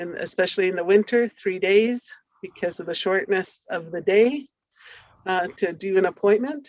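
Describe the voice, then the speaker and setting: A woman with a plain, everyday voice speaks at a moderate pace in a medium pitch, with ordinary pitch variation and big swings in loudness. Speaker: community partner in health research. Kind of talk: conference presentation.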